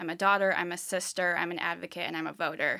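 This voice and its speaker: In a very clean recording with a silent background, a woman with an American accent speaks in a bright, sharp tone. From California, rural. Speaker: nonprofit external affairs manager. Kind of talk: casual chat.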